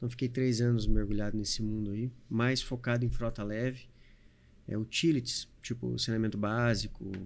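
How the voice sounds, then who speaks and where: At a moderate pace, a man speaks in a medium-pitched voice with monotone, flat intonation. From Paraná, Brazil (Medianeira). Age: 40s. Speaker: trucking company owner. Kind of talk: podcast interview.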